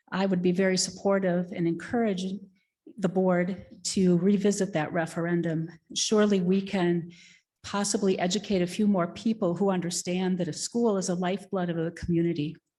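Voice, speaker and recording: Against a quiet background, the voice moves at a fairly quick pace with a dark, mellow tone and monotone, flat intonation. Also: woman, medium pitch for a woman. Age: 60s. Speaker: public commenter at school board meeting. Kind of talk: public comment.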